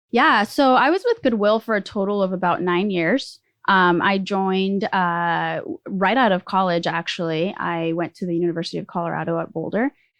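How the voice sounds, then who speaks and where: Her voice sits at a medium pitch for a woman, with ordinary pitch variation and a moderate pace. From Mexico City, then US from age seven. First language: Spanish. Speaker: startup executive. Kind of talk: interview.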